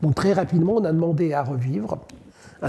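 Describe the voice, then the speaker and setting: Against noticeable background noise, a man speaks fairly slowly with a fairly high pitch and ordinary pitch variation. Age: 70s. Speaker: human rights activist. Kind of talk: testimony. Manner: halting, with frequent hesitations.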